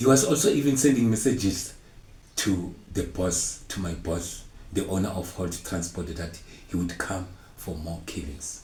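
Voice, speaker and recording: Amid audible room echo, a man with a very deep, low pitch talks at a moderate pace. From South Africa, Mpumalanga. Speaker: storyteller sharing personal testimony. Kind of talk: testimony. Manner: halting.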